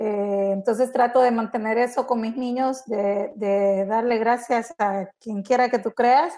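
Fairly slow and fairly high-pitched, a woman with a normal speaking voice keeps her intonation fairly even. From El Salvador. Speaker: podcast co-host. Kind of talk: casual chat.

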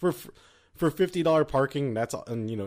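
A man's intonation is lively, and he talks at a very fast pace. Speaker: K-pop podcast co-host. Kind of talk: casual chat.

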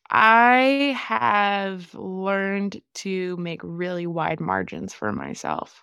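Speaking at a very slow pace with hardly any pauses, a woman has a medium pitch, lively intonation and a bright, sharp tone. The recording is very clean, with a silent background. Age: 20s. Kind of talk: interview testimony.

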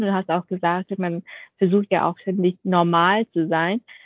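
In a plain, everyday voice, a woman speaks at a fairly slow pace with fairly even intonation and medium pitch. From Vietnam. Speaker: podcast co-host. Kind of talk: interview. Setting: video call.

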